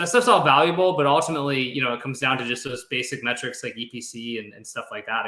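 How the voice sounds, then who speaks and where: Bright and sharp in tone, a man talks very fast at a medium pitch with ordinary pitch variation. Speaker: copywriter. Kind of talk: interview. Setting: live video stream. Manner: energetic.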